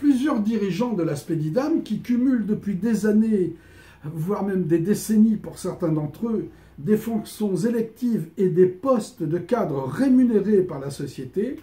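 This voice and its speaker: Lively intonation marks this man's speech. His pitch is high. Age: 60s. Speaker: trumpeter and candidate in an artists' society election. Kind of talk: prepared public statement. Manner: formal.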